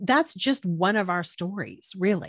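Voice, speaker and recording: Over a quiet background, a woman with an American accent speaks at a moderate pace with lively intonation. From South Texas, Corpus Christi. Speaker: podcast host. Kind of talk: casual interview chat.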